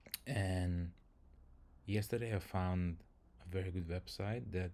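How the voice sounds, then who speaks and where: A man speaks with a very deep, low pitch and a dark, mellow tone. He talks at a fairly slow pace in a Lithuanian accent. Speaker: software engineer, language learner streamer. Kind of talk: live stream tutorial. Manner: hesitant, many fillers.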